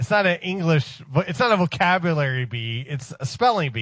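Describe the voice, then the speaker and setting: A man with an American accent and an ordinary speaking voice talks at a fairly quick pace, his fairly high pitch carried by lively intonation. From Ohio. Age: 40s. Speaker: radio show staffer. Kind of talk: casual chat.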